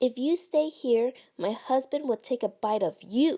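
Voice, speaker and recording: A growling, put-on character voice at a moderate pace. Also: woman, high pitch for a woman. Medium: read story.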